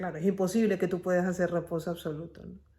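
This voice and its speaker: The woman's voice has a dark, mellow tone. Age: 60s. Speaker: family caregiver vlogger. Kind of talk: personal vlog monologue.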